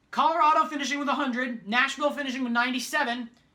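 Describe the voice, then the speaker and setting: A woman races along at a very rapid clip while clear background noise carries on. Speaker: youtuber, hockey fan. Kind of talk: casual monologue.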